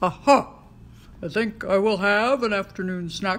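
This is a cartoonish character voice that sounds female. Its pitch is fairly high. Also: moderate pace. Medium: puppet.

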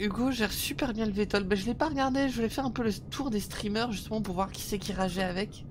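A woman talks at a very fast pace with hardly any pauses and ordinary pitch variation, against noticeable background noise. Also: fairly high pitch for a woman. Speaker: gaming streamer. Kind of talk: live gameplay commentary. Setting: video call. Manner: halting.

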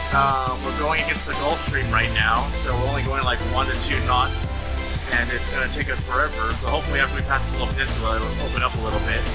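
Over loud background music, a man talks at a fairly quick pace. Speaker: sailing vlogger. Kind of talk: casual vlog chat. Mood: relaxed despite engine scare. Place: boat. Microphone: phone near.

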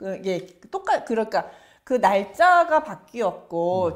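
A woman's lively intonation carries over a quiet background. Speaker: professor. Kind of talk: lecture. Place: studio.

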